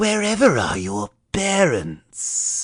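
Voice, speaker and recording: A man's put-on character voice, high in pitch. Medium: read story. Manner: mocking, falsely gentle.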